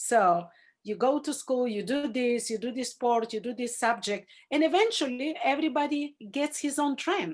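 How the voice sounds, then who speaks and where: With a Bulgarian accent, a woman speaks at a moderate pace in a high pitch with lively intonation over a quiet background. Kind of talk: Zoom class talk. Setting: video call.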